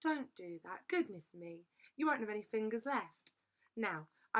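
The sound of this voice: An unforced reading voice is heard, and the background is quiet.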